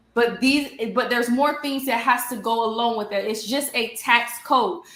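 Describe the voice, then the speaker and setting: The intonation stays fairly even. Noticeable background noise sits behind the voice. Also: woman, high pitch for a woman, moderate pace. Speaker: nonprofit mentor and trainer. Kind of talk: online teaching presentation. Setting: YouTube livestream.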